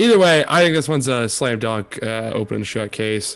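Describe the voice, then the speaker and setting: A man's moderate pace and lively intonation play out against music in the background. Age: 20s. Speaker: college football podcast co-host. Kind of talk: casual chat.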